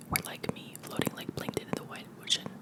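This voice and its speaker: A whispering woman at a very fast pace, with noticeable background noise. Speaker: ASMR creator. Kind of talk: ASMR book reading. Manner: whispered.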